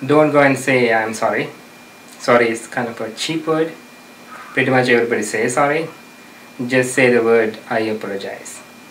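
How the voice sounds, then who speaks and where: With a non-native accent, a man speaks at a medium pitch and fairly even intonation, leaving long, frequent pauses. There is noticeable background noise and audible room echo. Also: moderate pace. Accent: foreign. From outside the US. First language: not English. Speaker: self-help advice giver. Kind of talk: interview advice talk. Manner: hesitant, many fillers.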